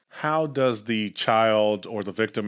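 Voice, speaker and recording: A man with a North Florida accent speaks with a fairly low pitch. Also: very clean recording, silent background. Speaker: podcast host. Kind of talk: interview.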